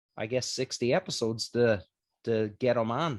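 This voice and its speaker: In a Newfoundland accent, a man speaks at a moderate pace, the sound dry and close with no echo. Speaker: podcast host. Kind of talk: casual chat.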